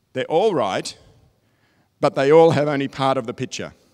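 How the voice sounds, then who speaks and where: A man with an Australian accent at a fairly quick pace with ordinary pitch variation, on a very clean recording with a silent background. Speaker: technology consultant. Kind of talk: keynote presentation. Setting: stage with audience.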